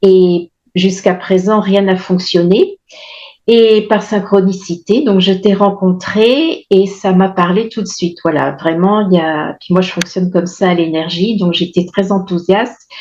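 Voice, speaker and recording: A woman's medium-pitched voice, with fairly even intonation, moves at a fairly slow pace. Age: 60s. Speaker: testimonial client of a nutrition program. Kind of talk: testimony. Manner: halting, many hesitations.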